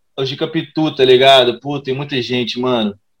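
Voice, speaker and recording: A man speaks at a moderate pace in a plain, everyday voice, pitched fairly high. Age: 20s. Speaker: rap and funk artist. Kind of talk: casual interview.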